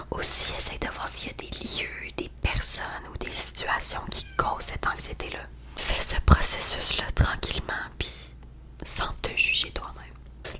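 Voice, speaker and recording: Whispering at a very slow pace in a Quebec accent, a woman's voice shows big swings in loudness over noticeable background noise. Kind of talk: ASMR roleplay. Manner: whispered.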